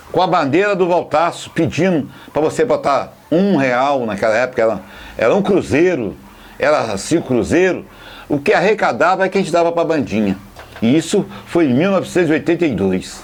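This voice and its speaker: A man with a fairly high pitch makes very wide pitch swings at a moderate pace, keeping his loudness very even. Noticeable background noise is present. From Brazil, Volta Redonda (Rio de Janeiro state). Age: 60s. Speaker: football fan and supporters' band leader. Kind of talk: documentary interview.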